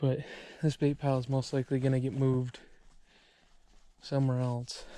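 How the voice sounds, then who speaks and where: A man speaks quietly at a fairly quick pace. His voice is medium in pitch with a dark, mellow tone and monotone, flat intonation. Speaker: bear hunter and outdoors vlogger. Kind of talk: outdoor vlog tutorial. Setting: outdoors in the forest. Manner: quiet, hushed in the woods.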